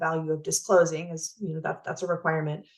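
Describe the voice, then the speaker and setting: A woman's fairly low voice at a very fast pace. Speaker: county counsel presenting to advisory council. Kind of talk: presentation on public records law.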